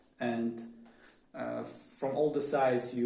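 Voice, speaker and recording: In a Polish accent, a man speaks at a very slow pace and a medium pitch. His intonation is monotone and flat, and room echo is audible. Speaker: vlogger. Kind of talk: casual monologue. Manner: halting, many fillers.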